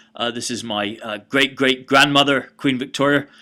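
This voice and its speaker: This man has a British accent and a bright, sharp tone. His pitch is medium with ordinary variation, and his pace is fairly quick. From Britain. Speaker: college history lecturer. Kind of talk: recorded online lecture. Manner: hesitant, many fillers.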